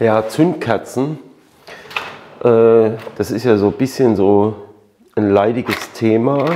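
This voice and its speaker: At a very slow pace with long, frequent pauses, a man speaks with ordinary pitch variation. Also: medium pitch for a man. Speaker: motorcycle mechanic YouTuber. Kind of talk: tutorial. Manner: casual with many fillers.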